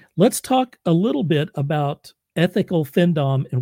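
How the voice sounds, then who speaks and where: Somewhat breathy and dark, mellow in tone, a man speaks with an American accent in a dry, close sound with no echo on a very clean recording with a silent background. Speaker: podcast host. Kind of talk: interview.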